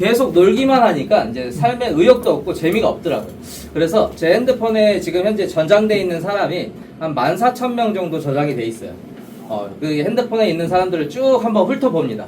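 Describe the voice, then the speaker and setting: At a fairly quick pace, a man speaks with a high pitch and very wide pitch swings, over noticeable background noise and audible room echo. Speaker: network marketing presenter. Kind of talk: business opportunity presentation. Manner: rhetorical questions to audience; hesitant fillers.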